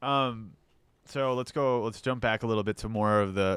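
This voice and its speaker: A man with a plain, everyday voice, moderate pace and fairly even intonation, in a very clean recording with a silent background. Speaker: podcast co-host. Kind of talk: casual chat.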